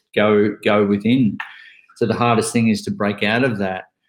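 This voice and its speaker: This man has an Australian accent and a fairly low pitch. His pace is moderate. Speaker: author and bucket list speaker. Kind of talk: casual chat.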